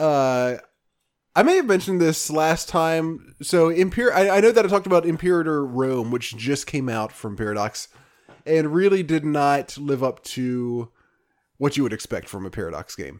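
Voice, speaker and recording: Lively in intonation and fairly high in pitch, a man with a plain, everyday voice speaks at a moderate pace on a very clean recording with a silent background. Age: 30s. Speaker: podcast host. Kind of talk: casual chat.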